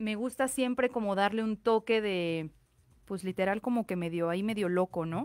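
A woman's voice, with ordinary pitch variation, moves at a moderate pace over a quiet background. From Mexico. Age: 30s. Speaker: fashion designer; guest. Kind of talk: interview. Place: studio. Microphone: studio mic.

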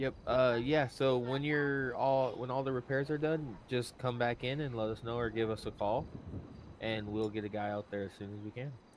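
In an unremarkable speaking voice, a man talks at a moderate pace with a medium pitch and fairly even intonation. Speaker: roleplay player acting as city official. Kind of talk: in-game roleplay dialogue.

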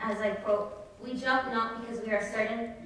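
Strong room echo surrounds the voice. The pace is moderate, with light background noise. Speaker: student host introducing reader. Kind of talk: formal introduction. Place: hall. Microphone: podium.

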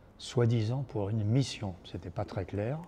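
A man speaks with a fairly low pitch and a dark, mellow tone.

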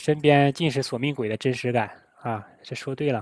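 This man has a plain, everyday voice with a fairly high pitch. He talks at a moderate pace with fairly even intonation. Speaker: livestream host. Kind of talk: casual chat.

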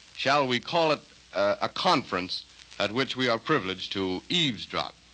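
Speaking at a moderate speed is a man. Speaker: radio announcer. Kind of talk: 1930s radio announcer introduction, formal broadcast style. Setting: radio studio. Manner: formal, polished, slightly stilted. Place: studio. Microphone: old recording.

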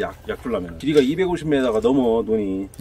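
With a Chungcheong accent, this man talks fairly quickly at a medium pitch, his voice swinging very widely, in a dry recording with no echo. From Chungcheong, South Korea. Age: 30s. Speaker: young farmer. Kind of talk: casual farm machinery review interview. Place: farm. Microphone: camera far.

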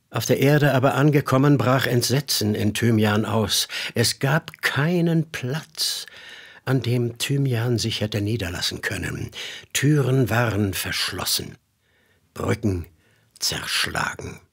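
A man speaks at a very slow pace in a solemn, dramatic tone, his voice somewhat breathy and medium in pitch. His pitch varies in an ordinary way, and the recording is very clean with a silent background. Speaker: voice actor narrator. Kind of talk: mythic fairy-tale narration, solemn biblical-style storytelling. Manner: slow, solemn, dramatic, grave and hypnotic.

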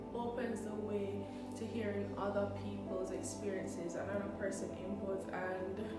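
A woman's voice with audible room echo and clear music in the background. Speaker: content creator. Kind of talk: casual vlog chat. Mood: warm, reflective. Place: kitchen. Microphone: phone near.

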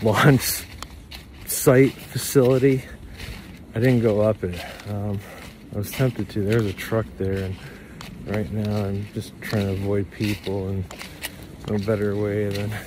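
A man with a fairly low pitch speaks at a fairly slow pace, with fairly even intonation and long, frequent pauses. The sound is dry with no echo, though noticeable background noise is present. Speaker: vlogger. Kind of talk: casual vlog chat. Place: forest. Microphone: phone near.

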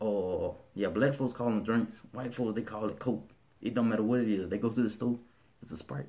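This man has an American accent and a medium pitch. His tone is dark and mellow. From Birmingham, Alabama. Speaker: vlogger. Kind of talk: casual talk to camera. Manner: relaxed, conversational. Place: home room. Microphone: phone near.

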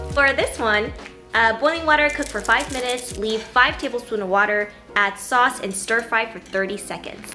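A woman at a moderate pace, with ordinary pitch variation and big swings in loudness, over clear music in the background. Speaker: food vlogger. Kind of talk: casual vlog chat.

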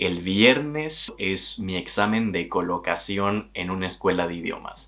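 A man with a Mexican accent talks at a fairly slow pace in a fairly low pitch, his intonation lively and his tone animated. The background is quiet. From Mexico, Tabasco. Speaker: travel vlogger. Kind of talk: vlog monologue. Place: home room.

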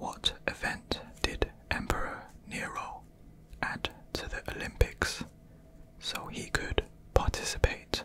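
A man whispering at a very slow pace, with long, frequent pauses and big swings in loudness. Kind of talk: casual thinking aloud, reading quiz questions. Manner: soft, close ASMR murmur.

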